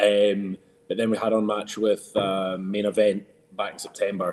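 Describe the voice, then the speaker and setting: With flat, monotone intonation, a man delivers his words in a fairly low pitch. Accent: strong Scottish. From Scotland. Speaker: professional wrestler. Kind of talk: podcast interview. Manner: hesitant, many fillers.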